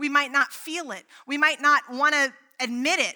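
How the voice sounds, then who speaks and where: At a very slow pace, a woman speaks in a raised, projected voice. Her tone is bright and sharp, and her pitch is high. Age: 30s. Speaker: pastor. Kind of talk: sermon. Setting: church.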